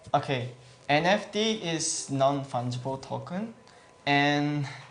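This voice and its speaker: A man with a non-native accent, fairly high pitch and a very slow pace. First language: Japanese. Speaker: gaming guild representative. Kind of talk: Q&A interview. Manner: hesitant, many fillers.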